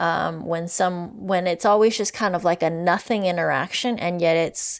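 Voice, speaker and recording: A woman with an unremarkable speaking voice talks at a moderate pace in a fairly low pitch, with fairly even intonation. The recording is very clean, with a silent background. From Canada, Vancouver area (BC). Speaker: professor and author. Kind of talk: interview conversation. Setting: podcast recording.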